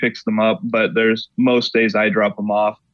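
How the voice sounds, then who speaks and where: This man has a plain, everyday voice with a medium pitch and speaks at a fairly slow pace. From Oklahoma. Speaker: pastor. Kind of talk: interview.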